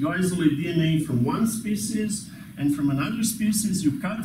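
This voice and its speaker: A man with a high pitch keeps a moderate pace despite noticeable background noise. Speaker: university lecturer. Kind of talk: lecture. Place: classroom.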